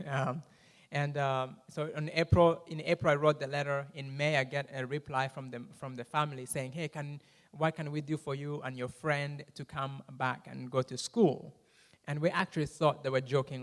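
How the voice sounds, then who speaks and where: The speaker talks with a Rwandan accent. The recording is very clean, with a silent background. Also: man. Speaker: guest speaker. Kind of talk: testimony with Q&A in church. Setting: church. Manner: fast when excited.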